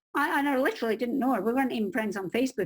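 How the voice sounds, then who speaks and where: In a Scottish accent, a woman talks at a very fast pace, somewhat breathy, her pitch swinging very widely. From Scotland. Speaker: crime novelist and publishing expert. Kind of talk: interview, personal story. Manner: animated.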